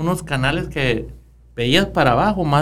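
A man with vocal fry and a fairly high pitch speaks at a moderate pace. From Ures, Sonora, northern Mexico. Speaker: mayor. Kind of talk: casual interview conversation. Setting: studio.

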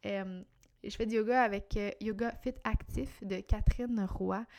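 A woman with a Quebec accent speaks at a medium pitch. Her tone is dark and mellow. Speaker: podcast host, entrepreneur. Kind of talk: solo podcast monologue. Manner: casual, hesitant with fillers.

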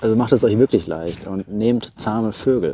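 A man with a medium pitch speaks in an unremarkable speaking voice at a moderate pace, his pitch varying in an ordinary way. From Hesse, Germany (Taunus). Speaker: wildlife photographer and biologist. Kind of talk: casual interview.

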